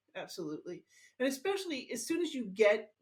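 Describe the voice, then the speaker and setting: The woman's tone is animated. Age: 60s. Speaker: teacher and health educator. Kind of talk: interview.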